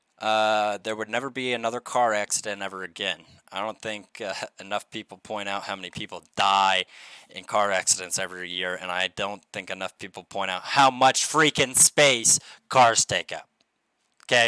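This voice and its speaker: A man's fairly low voice in a bright, sharp tone at a moderate pace, with ordinary pitch variation, big swings in loudness and a dry, close sound with no echo. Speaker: channel owner, vlogger. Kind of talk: casual monologue vlog. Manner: loud, yelling at times; halting, many fillers and restarts.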